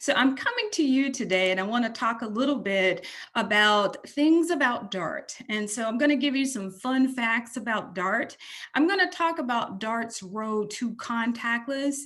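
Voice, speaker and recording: Speaking with a Texan accent, a woman uses a fairly high pitch and lively intonation. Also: moderate pace. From Texas. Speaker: transit agency executive. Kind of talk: presentation.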